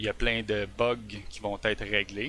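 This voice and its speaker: In a Quebec accent, a man speaks at a medium pitch with a bright, sharp tone. His pace is moderate, and the recording is very clean with a silent background. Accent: Québécois French. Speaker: software developer. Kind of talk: tech presentation on a live stream. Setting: live stream. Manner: hesitant, many fillers.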